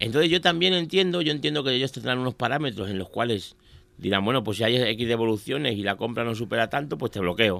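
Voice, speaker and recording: The delivery is fairly quick with lively intonation, captured in a very clean recording with a silent background. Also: man. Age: 40s. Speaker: radio pundit on office and business topics. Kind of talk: casual radio chat. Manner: halting.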